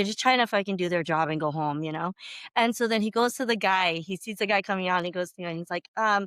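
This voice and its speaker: In a very clean recording with a silent background, a woman with a medium pitch speaks at a very fast pace in an animated tone, using ordinary pitch variation, her voice dry and close with no echo. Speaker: podcast co-host. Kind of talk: casual chat.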